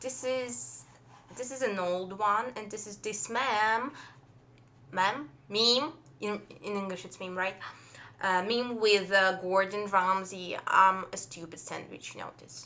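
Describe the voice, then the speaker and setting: With a Russian accent, a woman speaks at a fairly slow pace in a bright, sharp tone of medium pitch, her pitch varying in an ordinary way and her loudness swinging widely. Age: 20s. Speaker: fan artist. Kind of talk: casual chat. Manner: halting.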